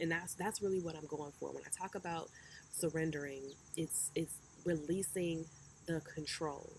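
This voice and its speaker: Against noticeable background noise, a woman with a fairly low pitch speaks in a monotone, flat intonation, leaving long, frequent pauses. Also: moderate pace. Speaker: spiritual self-development speaker. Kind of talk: casual talk to camera. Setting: outdoors.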